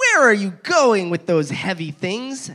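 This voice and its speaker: At a fairly slow pace, a put-on character voice at middle pitch is raised and projected. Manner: playful, curious.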